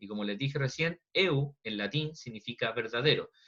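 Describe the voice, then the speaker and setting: Lively intonation marks the man's medium-pitched speech. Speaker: biology teacher. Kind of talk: online lecture. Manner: fast.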